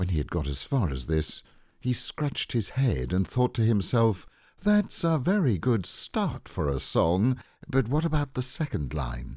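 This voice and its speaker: Somewhat breathy and soothing, with a calm tone, a man speaks at a fairly slow pace with very wide pitch swings. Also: medium pitch for a man. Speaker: voice actor. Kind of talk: bedtime story reading. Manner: soothing, calm.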